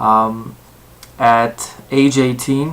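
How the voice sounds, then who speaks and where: The speaker has an American accent. The intonation is monotone and flat. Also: man. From Southern California. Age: 20s. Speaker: university student. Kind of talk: self-introduction for a class assignment. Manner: halting, many fillers.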